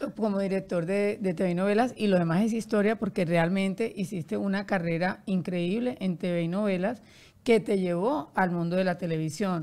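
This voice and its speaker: The tone is dark and mellow. Pace is moderate, with ordinary pitch variation. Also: woman, medium pitch for a woman. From Colombia, Barranquilla; Colombia. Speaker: podcast host, publicist; podcast host. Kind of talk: interview conversation. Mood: warm, cheerful. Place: studio. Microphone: studio mic.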